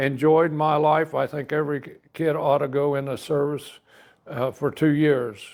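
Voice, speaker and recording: Here a man speaks with an American accent at a moderate pace. His fairly high voice holds a flat monotone. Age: 70s. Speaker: army veteran and hot-rod car enthusiast. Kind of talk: casual interview chat.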